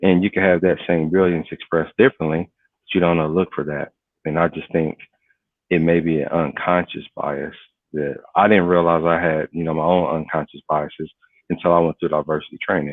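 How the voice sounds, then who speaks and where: In an American accent, a man with a very deep, low voice talks at a fairly quick pace in a flat monotone. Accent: inner-city local speech pattern. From US inner city. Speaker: cyber security professional. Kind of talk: interview conversation.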